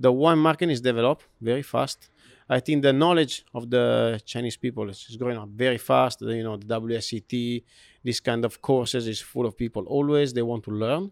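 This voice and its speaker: Fairly quick speech with an Italian accent and ordinary pitch variation, in a dry, close sound with no echo on a very clean recording with a silent background. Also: man, medium pitch for a man. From Italy. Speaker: hotel food and beverage director. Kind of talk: interview. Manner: halting.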